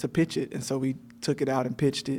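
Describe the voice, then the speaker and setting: A man with an American accent speaks at a moderate pace in a fairly high pitch, his intonation fairly even. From Alabama. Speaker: film writer and director. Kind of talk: casual interview chat.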